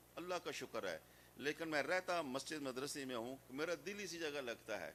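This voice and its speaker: Moderately paced, this man's voice has a fairly high pitch and a bright, sharp tone. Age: 60s. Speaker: Islamic scholar. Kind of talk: religious speech. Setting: madrasa gathering.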